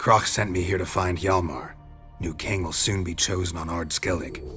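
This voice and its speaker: Over clear music in the background, a man does a put-on character voice pitched very deep and low. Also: moderate pace. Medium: machinima. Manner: terse, dry.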